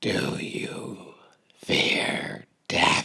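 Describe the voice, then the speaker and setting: A put-on character voice comes through in a whisper. It sounds raspy. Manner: chortling, cold, menacing.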